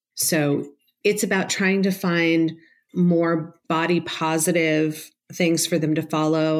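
A woman's fairly low, fairly even voice, a normal speaking voice, on a very clean recording with a silent background. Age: 50s. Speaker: psychotherapist. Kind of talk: interview.

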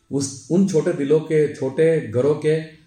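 There is audible room echo as a man speaks. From Udaipur, Rajasthan, India. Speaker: civil contractor and local politician. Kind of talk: life story interview.

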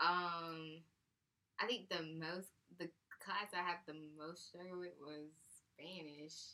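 Bright and sharp in tone, this voice has an American accent and a monotone, flat intonation. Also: woman. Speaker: podcast co-host. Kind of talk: casual chat.

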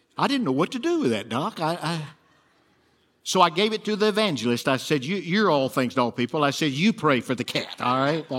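A man with a Southern US accent, fairly high in pitch, fairly quick in pace, with very wide pitch swings. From Alabama. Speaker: preacher. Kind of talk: sermon. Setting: church.

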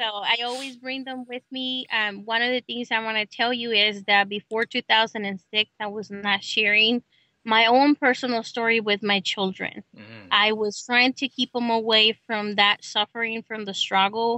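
A woman with a Spanish accent, fairly high-pitched and monotone with flat intonation, at a moderate pace with hardly any pauses and big swings in loudness. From Mexico, Guanajuato. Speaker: immigrant rights activist. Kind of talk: interview.

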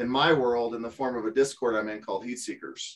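This man has an unremarkable speaking voice, medium in pitch, with fairly even intonation. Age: 50s. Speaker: part-time online reseller. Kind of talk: casual interview.

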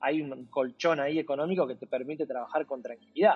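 Speaking at a very fast pace in a Rioplatense accent, a man uses a fairly high pitch with ordinary pitch variation. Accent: Argentine Rioplatense Spanish. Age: 40s. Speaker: sports journalist and digital content executive. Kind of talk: interview. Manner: talks nonstop; hesitant, with repetitions.

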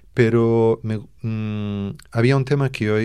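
In a Portuguese accent, a man talks with ordinary pitch variation on a very clean recording with a silent background. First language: Portuguese (speaking Spanish). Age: 40s. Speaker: fado singer and songwriter. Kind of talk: radio interview.

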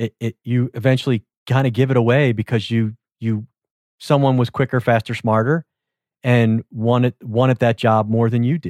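A man with a normal speaking voice talks at a moderate pace in a medium pitch with fairly even intonation. The very clean recording has a silent background and a dry, close sound with no echo. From US Northeast, Philadelphia. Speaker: podcast host. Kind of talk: interview podcast.

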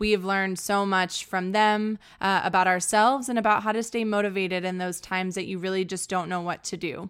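On a very clean recording with a silent background, a woman has an unremarkable speaking voice at a medium pitch with fairly even intonation. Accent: American. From Texas, San Antonio. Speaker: podcast host. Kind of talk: casual interview.

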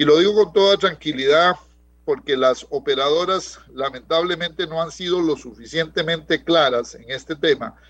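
Big swings in loudness mark a man's high-pitched voice, which moves at a moderate pace with ordinary pitch variation. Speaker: economist. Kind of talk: radio interview.

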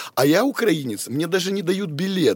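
A man talks in an animated tone at a moderate pace. The recording is very clean with a silent background and a dry, close sound with no echo. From Odesa, Ukraine. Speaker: bodybuilding champion and trainer. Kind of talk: casual chat.

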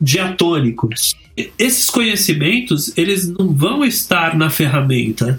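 The speaker moves at a very slow pace with very wide pitch swings, and noticeable background noise runs underneath. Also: man, high pitch for a man. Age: 50s. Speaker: video game developer. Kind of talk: casual chat.

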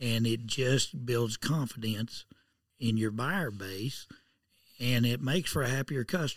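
A man speaks with a rural Southern Plains accent, his loudness very even and his pitch varying in an ordinary way, on a very clean recording with a silent background. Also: medium pitch for a man, fairly slow pace. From southern Kansas. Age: 60s. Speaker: horse auctioneer. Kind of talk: interview. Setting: auction barn.

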